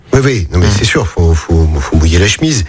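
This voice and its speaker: A man speaks in a very deep, low pitch with lively intonation. Noticeable background noise runs behind him. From Saint-Priest, east of Lyon, France. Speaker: mayor and politician. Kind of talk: radio interview. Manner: halting, many repetitions.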